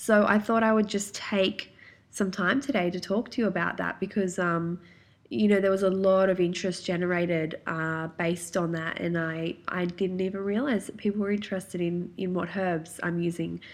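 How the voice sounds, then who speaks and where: A woman with an Australian accent talks at medium pitch and a moderate pace. The background is quiet. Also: fairly even intonation. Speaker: naturopath and podcast host. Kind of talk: solo podcast talk. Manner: casual, many filler ums.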